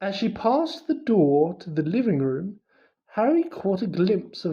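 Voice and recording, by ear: The speaker is reading aloud in a natural voice, with a quiet background.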